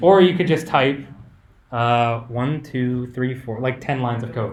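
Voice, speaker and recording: The room echo is audible around this man's voice. Background noise can be noticed throughout. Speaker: cybersecurity workshop instructor. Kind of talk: live workshop tutorial. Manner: loud, yelling over the room.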